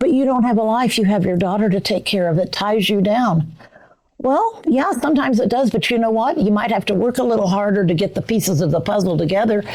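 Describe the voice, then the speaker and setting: At a very fast pace, a woman of medium pitch speaks with lively intonation, very even loudness and an American accent. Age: 80s+. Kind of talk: casual chat.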